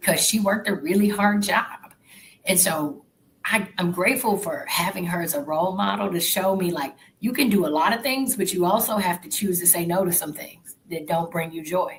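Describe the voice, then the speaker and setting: A woman with a Southern US accent speaks at a moderate pace in a medium pitch, her pitch varying in an ordinary way. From Arkansas, US South. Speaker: corporate professional. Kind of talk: interview.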